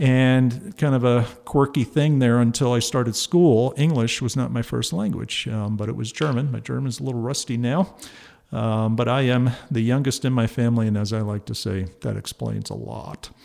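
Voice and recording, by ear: The speaker has an American accent and vocal fry. Pitch varies in an ordinary way. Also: man, medium pitch for a man, moderate pace, slightly mellow tone.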